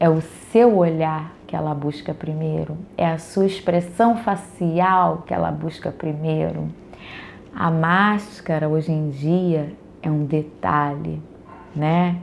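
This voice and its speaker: Soft-spoken and very slow, the voice shows ordinary pitch variation. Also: woman, very deep, low pitch for a woman. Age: 40s. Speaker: early childhood educator. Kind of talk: personal storytelling monologue.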